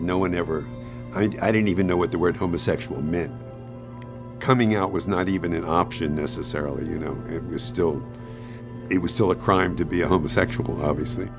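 Over clear music in the background, a man with a very deep, low pitch talks at a fairly quick pace. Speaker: retired teacher. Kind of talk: documentary interview answer. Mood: reflective, personal memories. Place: studio.

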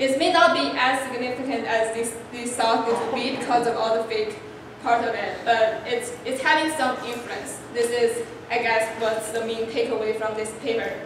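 A high-pitched woman at a moderate pace, with strong room echo and noticeable background noise. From China. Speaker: PhD student presenter; presenter. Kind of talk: academic conference talk. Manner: halting. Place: meeting room. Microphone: camera far.

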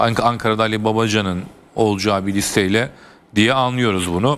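Spoken at a fairly quick pace with fairly even intonation, this is an unremarkable speaking voice. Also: man. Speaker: newspaper columnist. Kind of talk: TV political panel discussion. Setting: TV studio. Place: studio. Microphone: lapel.

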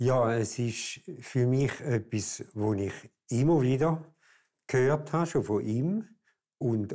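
A man's dark, mellow voice at medium pitch, with ordinary pitch variation, a very slow pace and a quiet background. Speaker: Reformed pastor. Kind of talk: interview answer. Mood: calm, reflective. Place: studio.

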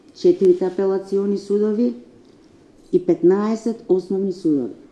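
A woman speaks very slowly with a dark, mellow tone. Her pitch varies in an ordinary way, and the room echo is audible. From North Macedonia. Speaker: judicial council president. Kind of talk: press statement. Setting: press briefing. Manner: formal. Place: meeting room.

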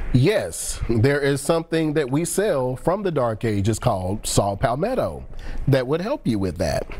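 A man's fairly high voice at a fairly slow pace, with very wide pitch swings. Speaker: pharmacist and call-in show host. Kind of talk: call-in TV advice show. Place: studio.

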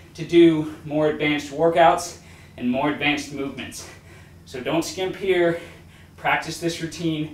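Audible room echo accompanies a man who speaks at a fairly slow pace. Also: fairly even intonation. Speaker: fitness instructor. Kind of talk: tutorial. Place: home room. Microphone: camera far.

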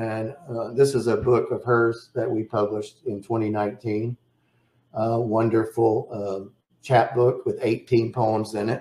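A man speaks at a fairly slow pace in a dark, mellow tone that is somewhat breathy, with audible room echo. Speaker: poet and poetry publisher. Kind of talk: lecture. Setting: video webinar. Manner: enthusiastic. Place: home room. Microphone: webcam.

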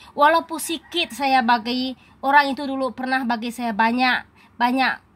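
Speaking at a moderate pace, a woman with a high pitch keeps her intonation fairly even. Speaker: YouTuber. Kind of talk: vlog monologue. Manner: loud.

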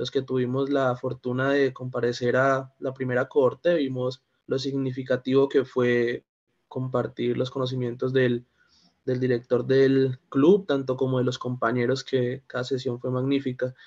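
Over a quiet background, a man speaks at a fairly slow pace in a monotone, flat intonation. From Colombia, Valle del Cauca. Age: 20s. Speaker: lawyer and philosophy student; lawyer. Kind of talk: discussion contribution. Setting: video call. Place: home room. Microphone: video call.

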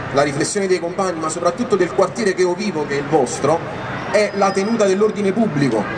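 Noticeable background noise sits behind a man's voice. He talks very fast, his pitch varying in an ordinary way. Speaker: speaker. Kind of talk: public political speech. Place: street. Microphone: handheld.

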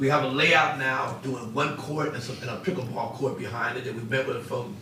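Through audible room echo and noticeable background noise, a man talks at a fairly quick pace with a medium pitch and ordinary pitch variation. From Ohio, Xenia area. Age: 60s. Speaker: public commenter, local businessman. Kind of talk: public comment at council meeting. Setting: city council chamber.

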